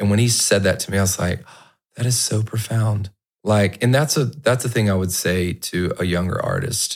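Against a silent background on a very clean recording, a man speaks in a normal speaking voice with a fairly low pitch. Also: ordinary pitch variation, moderate pace. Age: 30s. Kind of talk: casual chat. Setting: home podcast room.

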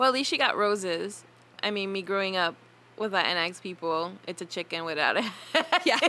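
With a bright, sharp tone, a woman speaks at a moderate pace, medium in pitch with ordinary pitch variation and long, frequent pauses. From Taino heritage. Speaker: witch and herbalist podcast host. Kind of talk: casual chat.

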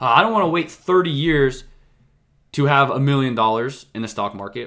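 A man speaks at a fairly quick pace in a fairly high pitch, his animated, bright and sharp tone carried by lively intonation on a very clean recording with a silent background. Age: 20s. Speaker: investing podcast host. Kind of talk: solo podcast monologue. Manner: fast; animated, sometimes raised voice.

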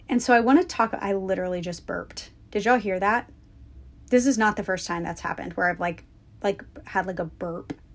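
A woman of medium pitch talks at a fairly quick pace in a plain, everyday voice with ordinary pitch variation. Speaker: podcast host and business coach. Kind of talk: guided meditation. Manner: intimate and inviting, speaking directly to the listener.

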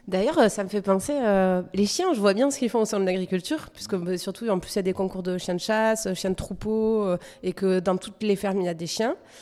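A woman's dark, mellow tone at a medium pitch, ordinary pitch variation, a fairly quick pace and hardly any pauses. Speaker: podcast host. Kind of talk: interview.

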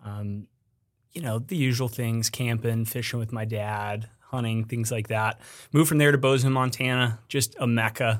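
A man speaks in a normal speaking voice with an American accent. His pitch is medium, his intonation fairly even, and his pace moderate. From Colorado. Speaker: business development director at a small boot maker. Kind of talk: casual chat.

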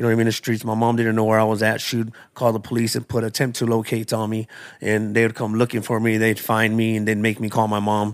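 A man with an American accent, talking at a very fast pace in a medium pitch, with monotone, flat intonation, on a very clean recording with a silent background. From Tucson, Arizona (South Side). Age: 40s. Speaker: recovery testimony speaker. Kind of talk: testimony.

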